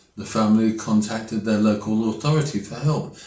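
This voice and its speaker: With an English accent, a man speaks at a moderate pace with lively intonation, and room echo can be heard. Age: 80s+. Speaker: political commentator. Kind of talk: opinion monologue.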